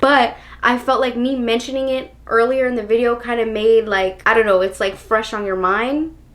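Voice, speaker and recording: Against noticeable background noise, a woman with a fairly high pitch talks at a fairly quick pace. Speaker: lifestyle vlogger. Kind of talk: casual vlog monologue. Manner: animated.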